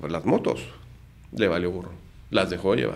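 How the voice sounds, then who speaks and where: A man talks with vocal fry. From Mexico City. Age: 50s. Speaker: lawyer and entrepreneur; lawyer. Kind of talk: casual interview. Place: studio. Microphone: studio mic.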